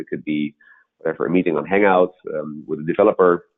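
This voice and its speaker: Very deep and low in pitch, a man's voice moves at a very fast pace. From Netherlands / Austria. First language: Dutch and German. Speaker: startup founder and CEO. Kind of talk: webinar presentation. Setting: web conference. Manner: halting, many fillers.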